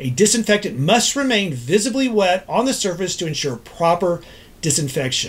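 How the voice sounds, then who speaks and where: A man with an American accent speaks at a moderate pace in a high voice. His pitch swings very widely. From Texas, Dallas. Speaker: ENT doctor. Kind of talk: scripted explainer. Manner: formal. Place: office.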